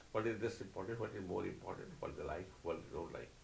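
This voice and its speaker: Room echo can be heard as a man speaks at a fairly quick pace. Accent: Odisha. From India (Odisha). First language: Oriya. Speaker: spiritual teacher and author. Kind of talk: interview.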